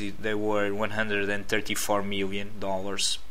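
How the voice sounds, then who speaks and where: A man's fairly low voice with a Portuguese accent, at a moderate pace, with audible room echo and noticeable background noise. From Portugal. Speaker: stock market analyst. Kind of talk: tutorial. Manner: halting, many fillers.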